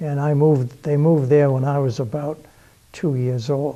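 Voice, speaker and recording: Speaking at a moderate pace with a Boston accent, a man uses a fairly high pitch. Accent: Boston-area New England. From Massachusetts, Beverly (North Shore). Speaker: local history show host. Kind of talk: interview. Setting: historical society building.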